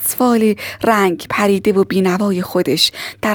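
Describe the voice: The plain reading aloud keeps its intonation fairly even.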